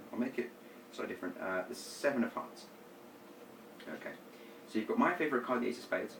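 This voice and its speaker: Lively intonation from a man at medium pitch, very fast yet with long, frequent pauses, amid noticeable background noise. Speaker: magician teaching card tricks. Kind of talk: tutorial.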